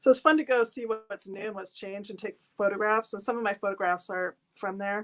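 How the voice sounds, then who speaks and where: A woman with a West Coast accent speaks on a very clean recording with a silent background. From Seattle, US Pacific Northwest. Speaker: artist and photographer. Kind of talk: interview. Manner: halting.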